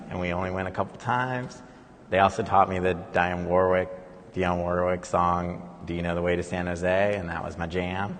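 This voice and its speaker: A man's very deep, low voice in a Californian accent, with monotone, flat intonation and audible room echo. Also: moderate pace. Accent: Californian American. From Silicon Valley, California. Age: 40s. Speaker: conceptual artist. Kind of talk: panel conversation. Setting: live event in a gallery.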